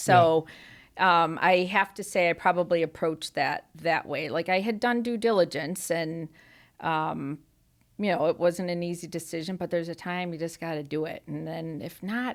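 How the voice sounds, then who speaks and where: In a very clean recording with a silent background, a woman with a normal speaking voice talks at a moderate pace, her pitch fairly low and her intonation fairly even. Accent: American. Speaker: farmer and store owner. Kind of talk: interview answer.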